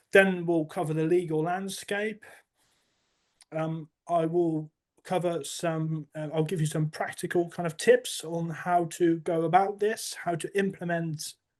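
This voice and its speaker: Against a quiet background, a man with a high pitch speaks fairly slowly with fairly even intonation. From Netherlands. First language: Dutch. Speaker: compliance account manager. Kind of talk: webinar presentation. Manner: hesitant, with false starts.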